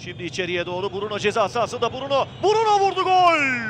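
Very wide pitch swings at a fairly slow pace over noticeable background noise. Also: man. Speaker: football commentator. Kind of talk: live football match commentary, highlights reel.

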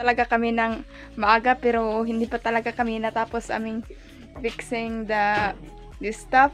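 Faint music plays in the background. A woman speaks at a moderate pace. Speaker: vlogger. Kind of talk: casual vlog chat. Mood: sleepy but cheerful. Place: home room. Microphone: phone near.

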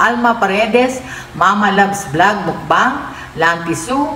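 Speaking fairly slowly, a woman is heard with light background noise and audible room echo. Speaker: mukbang vlogger. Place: home room. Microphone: phone near.

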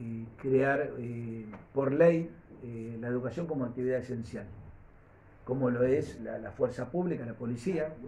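Speech comes at a very slow pace in a Rioplatense accent with ordinary pitch variation. Light background noise is present. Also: man. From Argentina. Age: 60s. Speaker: political candidate; candidate. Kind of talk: press conference. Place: meeting room. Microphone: camera far.

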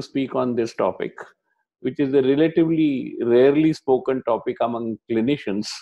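The speech moves at a moderate pace with fairly even intonation. The background is quiet. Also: man. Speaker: lecturer at online workshop. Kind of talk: lecture. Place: home room. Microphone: earbuds.

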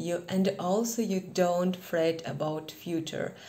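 A woman at medium pitch with fairly even intonation. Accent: Kazakh. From Kazakhstan. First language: not English. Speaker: English learner vlogger. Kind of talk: casual lesson talk to camera. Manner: hesitant, many fillers. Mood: cheerful, warm. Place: home room. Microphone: phone near.

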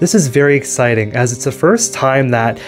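A man speaks at a medium pitch with faint music in the background. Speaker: channel host. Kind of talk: interviewer narration. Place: home room. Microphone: handheld.

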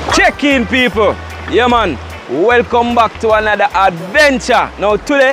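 A high-pitched man with ordinary pitch variation, dry sound with no echo and music in the background. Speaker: outdoor cooking vlogger. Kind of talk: casual vlog chat. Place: waterside.

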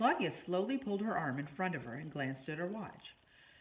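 An unforced reading voice moves along with lively intonation.

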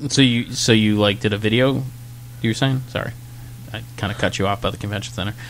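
Speaking very fast yet with long, frequent pauses, a man with a fairly low pitch and vocal fry shows ordinary pitch variation over light background noise. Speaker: podcast host. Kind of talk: casual chat. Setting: bar. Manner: loud. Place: bar.

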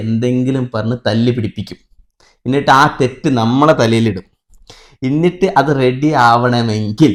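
A man speaks at a medium pitch in an unremarkable speaking voice. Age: 20s. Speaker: YouTuber, content creator. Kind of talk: casual Q&A chat.

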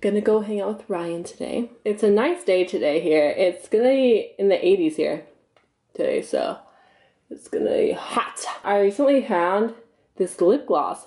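In a quiet setting, a woman talks at a moderate pace. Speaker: vlogger. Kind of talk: casual vlog chat. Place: home room. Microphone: phone near.

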